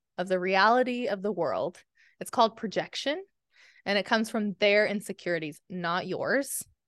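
In a plain, everyday voice, a woman of medium pitch speaks at a moderate pace with ordinary pitch variation, the sound dry and close with no echo and the background quiet. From small-town Oklahoma. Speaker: novelist. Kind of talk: casual interview chat.

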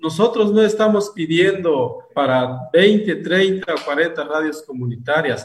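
Pitched high, a man talks at a very slow pace with lively intonation and hardly any pauses. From Guatemala, Sacatepéquez. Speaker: community radio founder, farmer. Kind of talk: interview testimony.

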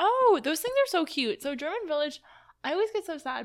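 Her pace stays moderate. The woman has an American accent. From US East Coast. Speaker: podcast co-host. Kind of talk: casual chat. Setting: sitting at a table.

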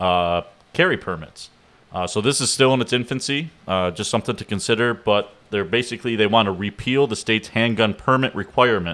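In a normal speaking voice with an American accent, the speaker moves at a fairly quick pace with ordinary pitch variation. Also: man. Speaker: podcast co-host. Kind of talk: casual chat.

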